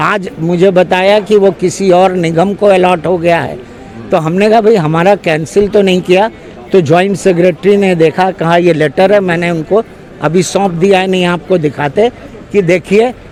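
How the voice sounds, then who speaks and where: Over music in the background, a man with a high pitch speaks with fairly even intonation. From Lucknow, northern India. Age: 70s. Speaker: retired government employee. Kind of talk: street interview complaint.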